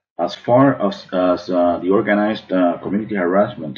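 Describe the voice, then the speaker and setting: With an American accent, a man speaks at a moderate pace in a fairly low pitch with ordinary variation, an unremarkable speaking voice. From Cuban American, Miami. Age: 40s. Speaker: artist. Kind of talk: prepared testimony to camera.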